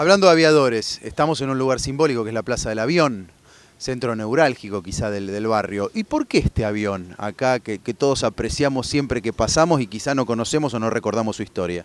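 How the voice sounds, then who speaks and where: A man talks at a fairly quick pace in a normal speaking voice, at a medium pitch, with lively intonation. The sound is dry and close, with no echo. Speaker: TV interviewer. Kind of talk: interview. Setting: outdoors, in a town plaza.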